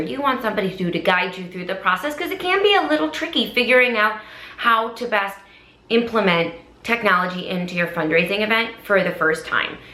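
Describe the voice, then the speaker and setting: Noticeable background noise accompanies a woman with an American accent. She talks at a fairly quick pace with lively intonation. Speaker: charity auctioneer. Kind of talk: casual talk to camera, advice video.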